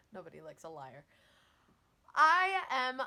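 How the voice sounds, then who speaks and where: Loud and animated, a woman speaks at a high pitch with very wide pitch swings and a bright, sharp tone. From Newfoundland, Canada. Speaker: weight loss vlogger. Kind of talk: casual vlog talk to camera.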